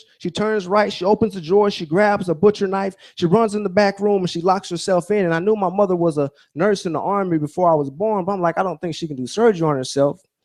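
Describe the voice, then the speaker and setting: Speaking very fast with hardly any pauses, a man with an American accent uses a high voice and ordinary pitch variation. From Alaska, later Georgia (US South) from age ten. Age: 30s. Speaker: motivational speaker, military helicopter pilot. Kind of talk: motivational speech.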